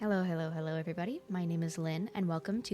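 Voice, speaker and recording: Music plays in the background as a woman with a fairly low pitch speaks with ordinary pitch variation. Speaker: YouTuber and fan artist. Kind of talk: casual video commentary. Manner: casual with many fillers.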